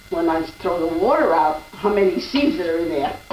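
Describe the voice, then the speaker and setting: Noticeable background noise behind a female voice of ordinary pitch variation. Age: 80s+. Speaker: home cook. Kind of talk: cooking demonstration.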